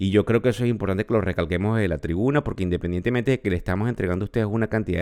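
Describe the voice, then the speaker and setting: A man with a Venezuelan accent speaks at a fairly low pitch with ordinary variation. The recording is very clean, with a silent background. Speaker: podcast host, finance professor. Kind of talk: market news commentary.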